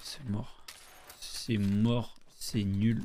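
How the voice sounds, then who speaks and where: A man speaks in a dark, mellow tone at medium pitch. His intonation stays monotone and flat. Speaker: gaming streamer. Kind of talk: gameplay commentary. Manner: casual, rambling.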